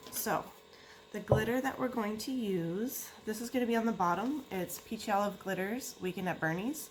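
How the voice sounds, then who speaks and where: The speech moves at a moderate pace with ordinary pitch variation. Noticeable background noise sits behind it. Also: woman, fairly high pitch for a woman. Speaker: crafter making tumblers. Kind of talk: crafting tutorial. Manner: occasional stutter, tongue-tied.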